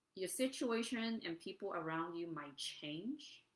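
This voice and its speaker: A soft-spoken woman at a fairly slow pace. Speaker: life coach. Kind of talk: live-streamed motivational talk. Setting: standing, live stream on camera. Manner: hesitant, many fillers.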